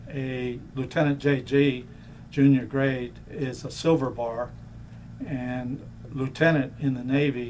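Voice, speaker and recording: Over noticeable background noise, a man with an American accent speaks at a medium pitch. His delivery is very slow, with a monotone, flat intonation. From Florida (Miami). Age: 60s. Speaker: navy veteran. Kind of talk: oral history interview. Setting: museum.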